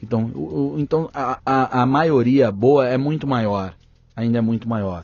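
A man at a medium pitch and a fairly slow pace. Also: lively intonation. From interior of São Paulo state, Brazil (Pontal do Paranapanema). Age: 30s. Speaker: journalist and federal congressman. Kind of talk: podcast interview. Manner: animated.

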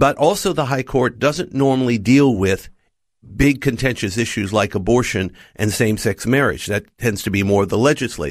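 A man with an American accent talks at a moderate pace in an ordinary speaking voice, medium in pitch with lively intonation. The recording is very clean with a silent background. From United States. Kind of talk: radio interview. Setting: studio.

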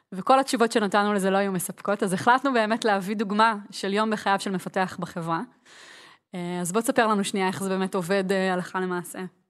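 On a very clean recording with a silent background, a woman with a plain, everyday voice talks at a fairly quick pace and medium pitch. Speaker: podcast host. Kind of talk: casual chat.

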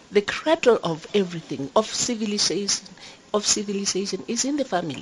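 A woman at medium pitch speaks at a fairly quick clip with very wide pitch swings, over noticeable background noise. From Lesotho. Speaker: government deputy minister. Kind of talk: panel discussion. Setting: conference venue, live broadcast. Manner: hesitant, with frequent hums.

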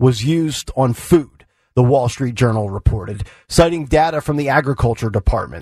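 Very wide pitch swings mark this man's voice. It is somewhat breathy. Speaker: radio host. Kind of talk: talk radio show. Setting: studio. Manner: animated.

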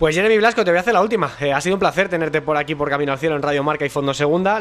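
This man has a fairly high pitch. It varies in an ordinary way. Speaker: football radio show host. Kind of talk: sports talk show.

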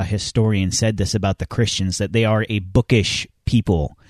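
An unremarkable speaking voice from a man, fairly low in pitch and fairly quick, with a dry, close sound with no echo. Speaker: podcast co-host. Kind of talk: casual chat.

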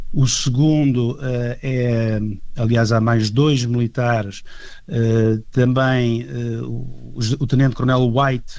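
A man's voice at a medium pitch, dark and mellow in tone, with fairly even intonation, a very slow pace and audible room echo. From Portugal. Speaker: heritage association vice-president. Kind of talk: radio interview.

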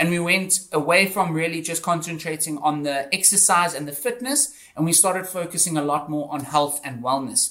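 Noticeable background noise sits under the speech. It keeps a moderate pace with hardly any pauses. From South Africa, Johannesburg. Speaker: fitness entrepreneur. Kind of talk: interview.

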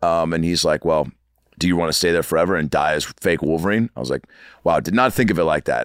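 A man's very deep, low voice with vocal fry and ordinary pitch variation at a very fast pace, dry and close with no echo, on a very clean recording with a silent background. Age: 40s. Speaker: actor and comedian. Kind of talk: casual chat. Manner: animated.

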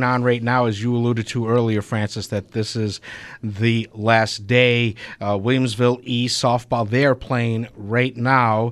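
A man with an American accent speaks in an unremarkable speaking voice at a medium pitch. His pace is moderate and his intonation fairly even. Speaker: radio show host. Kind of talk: casual radio sports talk. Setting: radio studio.

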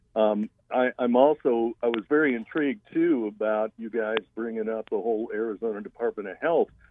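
A man talks at a fairly quick pace in a medium pitch. It is an ordinary speaking voice, with ordinary pitch variation. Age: 60s. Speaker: radio caller. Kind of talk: call-in comment. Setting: phone call.

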